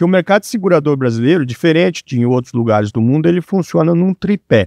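Over a quiet background, a man talks at a fairly quick pace with a fairly high pitch and very wide pitch swings, the sound dry with no echo. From Brazil, Paraná (Cascavel). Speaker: insurance industry executive. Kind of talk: interview. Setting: studio. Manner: halting. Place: studio. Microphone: studio mic.

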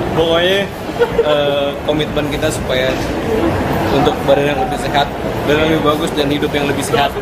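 Loud background noise fills the clip. Over it, a man speaks at a fairly quick pace. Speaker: vlogger. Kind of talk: casual vlog chat. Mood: cheerful, playful. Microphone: phone near.

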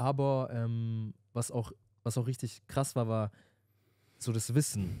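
With a dark, mellow tone and fairly even intonation, a man speaks very slowly with long, frequent pauses, in a dry sound with no echo over a quiet background. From Stuttgart, Germany; Germany. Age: 20s. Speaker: podcast co-host. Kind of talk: casual chat. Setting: studio. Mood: reflective, earnest. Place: studio. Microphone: handheld.

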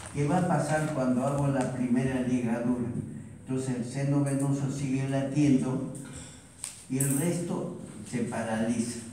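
Fairly slow, fairly even speech with strong room echo and light background noise. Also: man. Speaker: physiology teacher. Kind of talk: lecture. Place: classroom. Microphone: camera far.

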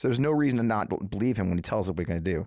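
A man with an American accent and lively intonation, in a dry sound with no echo over a quiet background. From US Midwest, St. Louis area, Missouri; Missouri. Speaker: political podcast host; political show host. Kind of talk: solo political commentary. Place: studio. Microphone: studio mic.

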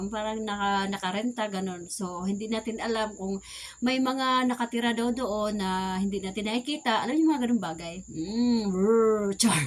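Over noticeable background noise, a woman talks at a moderate pace with hardly any pauses, in a fairly high pitch with ordinary pitch variation. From Visayas, Philippines. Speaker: vlogger and sari-sari store owner. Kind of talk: casual vlog talk.

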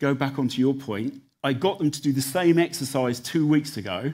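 Fairly slow delivery from a man, with ordinary pitch variation. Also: quiet background. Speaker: tech company director. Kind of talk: panel discussion. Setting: stage with audience. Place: stage. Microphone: headset.

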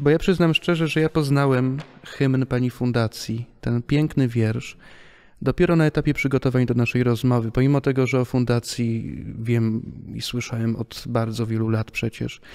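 At a moderate pace and with fairly even intonation, a man speaks against a quiet background. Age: 20s. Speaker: podcast host. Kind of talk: interview. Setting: theatre hall. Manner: formal. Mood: calm, respectful. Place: hall. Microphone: studio mic.

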